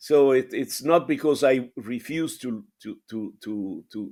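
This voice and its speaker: Against a very clean, silent background, a man with a dark, mellow tone and medium pitch speaks at a fairly slow pace with ordinary pitch variation. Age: 70s. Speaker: nonprofit marketing staff, consultant. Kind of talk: casual conversation. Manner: halting, repeats words.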